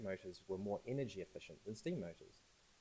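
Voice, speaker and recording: A man talks very fast in a New Zealand accent. His voice is somewhat breathy, with very wide pitch swings. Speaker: AI and data science consultant. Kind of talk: talk at a launch event. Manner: hesitant, with fillers and repeated words.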